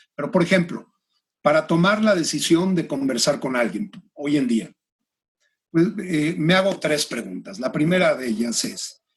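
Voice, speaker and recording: A man speaks at a fairly high pitch, somewhat breathy. His pace is fairly slow, with very wide pitch swings. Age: 60s. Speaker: executive and career coach. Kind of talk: interview conversation. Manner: hesitant, many fillers.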